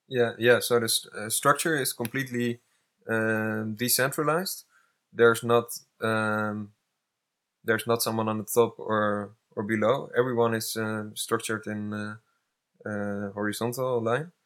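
The speech moves at a fairly slow pace. It carries a Dutch accent. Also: man, medium pitch for a man. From Netherlands. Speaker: climate activist. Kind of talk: casual chat. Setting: eco village in Spain. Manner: hesitant, many fillers.

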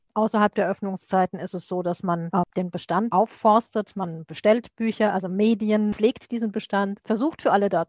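A woman's unremarkable speaking voice at a medium pitch, moderate in pace with hardly any pauses, fairly even intonation and big swings in loudness. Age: 50s. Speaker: librarian. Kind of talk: interview.

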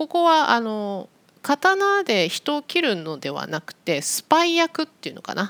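A woman speaks at a fairly slow pace in a high pitch, with very wide pitch swings and big swings in loudness. The sound is dry and close, with no echo. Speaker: Japanese language teacher podcaster. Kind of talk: casual educational monologue for learners. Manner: slow, clear with simple explanations.

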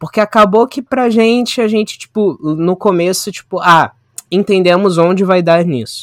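Pitch varies in an ordinary way while the speech moves at a moderate pace. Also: man, high pitch for a man. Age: 20s. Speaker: media studies graduate and photographer. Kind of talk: casual chat.

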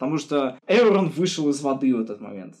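A man's fairly high voice with lively intonation. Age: 20s. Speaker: podcast co-host. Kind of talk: casual chat. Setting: remote call. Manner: animated.

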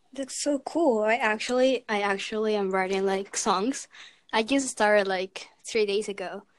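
A woman's fairly high-pitched voice, an ordinary speaking voice, at a moderate pace with ordinary pitch variation. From Canada, Vancouver. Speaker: podcast guest. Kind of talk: casual chat.

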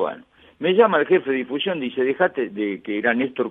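Fairly quick speech in a Rioplatense accent, with very wide pitch swings. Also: man. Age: 70s. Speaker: retired radio host. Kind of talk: interview.

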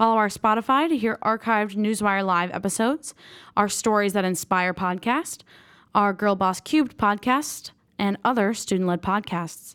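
Here a woman has an unremarkable speaking voice at medium pitch, with ordinary pitch variation. She keeps a moderate pace and very even loudness. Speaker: student radio host. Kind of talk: live student radio show host.

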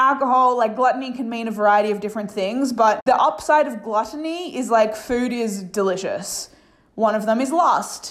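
At a moderate pace, this is an ordinary speaking voice with ordinary pitch variation. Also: woman, fairly high pitch for a woman. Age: 30s. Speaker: life coach and podcast host. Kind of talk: solo podcast monologue.

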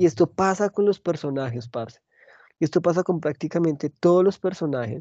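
A man talks at a fairly quick pace, his voice high for a man with a dark, mellow tone. The pitch moves in an ordinary way, and the sound is dry and close with no echo. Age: 30s. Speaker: podcast host. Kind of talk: casual chat.

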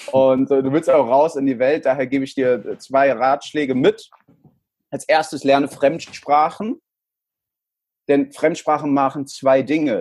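Speaking at a fairly slow pace with long, frequent pauses, a man keeps a fairly high pitch and fairly even intonation. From El Salvador and Frankfurt, Germany. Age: 30s. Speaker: sales trainer. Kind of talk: interview.

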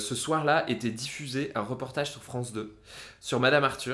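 At a fairly slow pace, a man speaks in an animated tone with fairly high pitch. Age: 30s. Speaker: podcast co-host. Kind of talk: casual chat.

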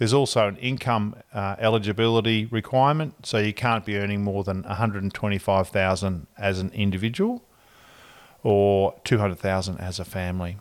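Fairly quick, fairly low-pitched male speech with fairly even intonation, on a very clean recording with a silent background. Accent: Australian. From Australia (Ballarat, Victoria). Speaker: mortgage broker. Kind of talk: interview.

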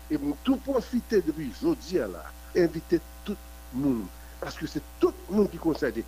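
This man talks at a moderate pace, leaving long, frequent pauses. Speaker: activist. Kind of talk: news report soundbite.

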